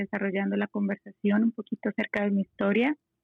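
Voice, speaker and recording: A woman of medium pitch speaks in a monotone with flat intonation. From Colombia. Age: 30s. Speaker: lawyer and interior designer. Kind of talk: podcast conversation.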